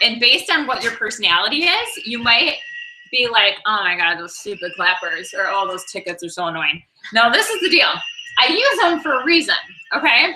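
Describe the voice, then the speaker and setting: A woman talks loudly at a fairly quick pace, her pitch swinging very widely. Noticeable background noise runs behind her. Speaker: sales trainer for direct-selling consultants. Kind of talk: training session. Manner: casual, filler-heavy.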